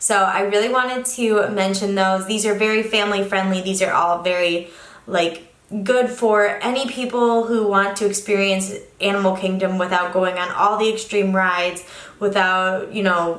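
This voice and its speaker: At a moderate pace and medium pitch, a woman speaks with fairly even intonation amid audible room echo and noticeable background noise. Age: 20s. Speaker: travel vlogger. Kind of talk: casual vlog talk.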